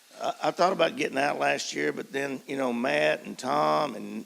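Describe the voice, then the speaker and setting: Over noticeable background noise, a man with a medium pitch talks at a fairly slow pace, his pitch swinging very widely. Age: 70s. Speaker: basketball coach. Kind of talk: panel discussion. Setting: stage with audience.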